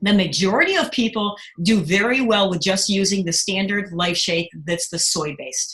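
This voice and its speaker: Noticeable background noise sits under a woman talking with ordinary pitch variation. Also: medium pitch for a woman. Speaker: product distributor presenting catalogue. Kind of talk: online product presentation. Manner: fast; hesitant fillers.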